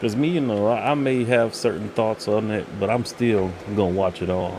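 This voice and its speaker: A soft-spoken man's fairly low voice at very even loudness, with noticeable background noise. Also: ordinary pitch variation, moderate pace. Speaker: channel host, pop culture reviewer. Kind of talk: casual chat. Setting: live stream.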